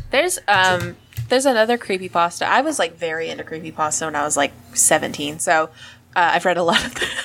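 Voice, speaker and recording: Lively intonation runs through this woman's fairly quick speech. Background noise is noticeable. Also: fairly low pitch for a woman. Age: 20s. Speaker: podcast co-host. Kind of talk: casual chat. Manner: loud; animated.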